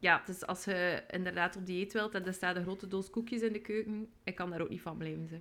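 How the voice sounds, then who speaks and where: With a West Flemish accent, a woman talks at a fairly quick pace with hardly any pauses. Her voice sits at a medium pitch and has a bright, sharp tone. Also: fairly even intonation. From West Flanders, Belgium. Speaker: podcast co-host. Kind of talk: casual chat.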